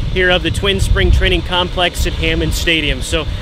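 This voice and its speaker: Noticeable background noise sits behind a man's voice. He talks at a moderate pace, and the sound is dry with no echo. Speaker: sports reporter giving a tour. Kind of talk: commentary. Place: stadium. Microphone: phone near.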